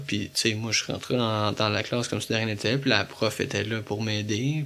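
Fairly quick speech with fairly even intonation, set against noticeable background noise. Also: man. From Quebec, Montreal area. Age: 20s. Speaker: visually impaired young man. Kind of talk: interview. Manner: hesitant, many fillers.

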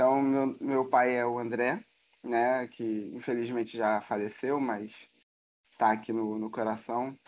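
The man speaks at a very slow pace in a medium pitch. His intonation stays monotone and flat. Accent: Carioca. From Rio de Janeiro, Brazil (Tijuca). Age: 30s. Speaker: photographer. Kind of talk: casual interview chat.

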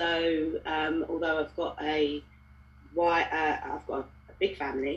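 Her very deep, low voice moves at a fairly slow pace, with monotone, flat intonation throughout. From Balham, south London. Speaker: parent guest. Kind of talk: casual chat.

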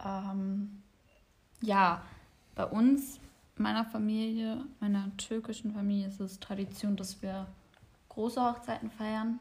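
Very slowly and with long, frequent pauses, a woman speaks in a fairly high, somewhat breathy voice with fairly even intonation. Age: 20s. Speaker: podcast host, psychology student. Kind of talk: casual chat. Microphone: far from the microphone.

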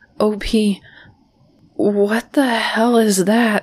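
A woman's put-on character voice, shaky and fairly high, with fairly even intonation. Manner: frightened, shaky.

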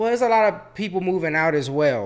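A man in a Southern Virginia accent talks at a fairly quick pace with lively intonation. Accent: Southern Virginia country. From Chesterfield, Virginia. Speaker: guest. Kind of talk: casual chat.

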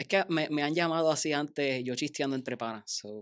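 Recorded very cleanly against a silent background, a man uses a normal speaking voice with a fairly high pitch, ordinary pitch variation and a moderate pace. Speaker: engineer. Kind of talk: casual chat.

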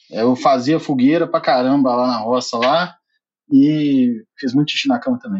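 With an ordinary speaking voice, a man talks at a moderate pace, fairly high in pitch, with ordinary pitch variation. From southern Minas Gerais, Brazil (Alfenas). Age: 30s. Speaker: podcast team member. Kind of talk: casual chat.

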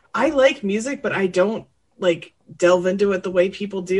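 A woman's normal speaking voice at a medium pitch. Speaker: entertainment news panelist. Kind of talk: casual roundtable chat. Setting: video call.

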